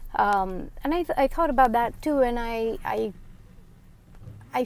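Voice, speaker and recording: A woman's fairly high voice, very slow in pace, with lively intonation. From India. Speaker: finance vlogger. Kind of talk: casual monologue. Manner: halting.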